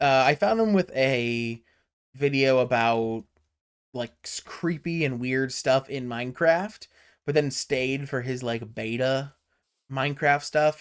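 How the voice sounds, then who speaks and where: A man with a medium-pitched voice speaks at a fairly slow pace on a very clean recording with a silent background. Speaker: Minecraft YouTuber. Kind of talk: casual gameplay commentary. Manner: relaxed and chill; halting.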